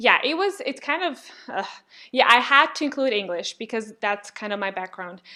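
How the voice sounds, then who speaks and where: A woman with a Serbian accent speaks at a moderate pace in a high, bright, sharp voice with very wide pitch swings, on a very clean recording with a silent background. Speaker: linguist and YouTuber. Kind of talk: casual podcast interview.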